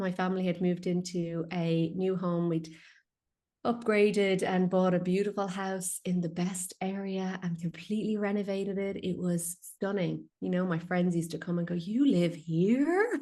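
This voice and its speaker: A woman with an Irish accent speaks in a dark, mellow tone at a moderate pace, keeping her intonation fairly even. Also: medium pitch for a woman. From west of Ireland. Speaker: feng shui consultant and healer. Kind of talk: podcast interview.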